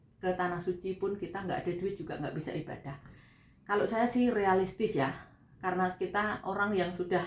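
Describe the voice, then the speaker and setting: A woman's voice with noticeable background noise. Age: 40s. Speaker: vlogger, migrant domestic worker. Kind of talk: casual vlog talk. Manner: conversational.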